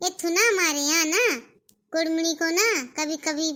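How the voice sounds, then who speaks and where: A woman puts on a cartoonish character voice. It is squeaky and extremely high in pitch. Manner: chatty, mixes English words into Hindi.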